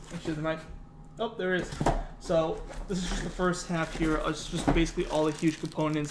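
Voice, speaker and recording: Over noticeable background noise, a man speaks in a high pitch at a fairly quick pace. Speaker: YouTube content creator. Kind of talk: unboxing tutorial. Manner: fast; casual, filler-heavy.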